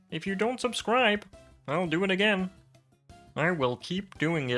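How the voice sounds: A put-on character voice at a middle pitch sounds over faint music in the background. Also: moderate pace.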